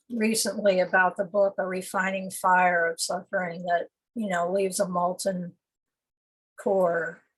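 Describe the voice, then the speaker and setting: A somewhat breathy woman's voice at medium pitch and a fairly slow pace. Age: 70s. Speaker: poet. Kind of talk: conversational interview. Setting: video call. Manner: halting.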